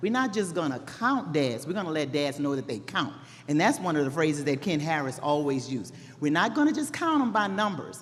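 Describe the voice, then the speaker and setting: A woman with a slight Texas accent talks at a fairly quick pace in a very deep, low pitch, her tone animated. Audible room echo and noticeable background noise surround her voice. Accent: slight Texas twang. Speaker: public health program worker. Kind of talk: conference presentation. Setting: stage with audience.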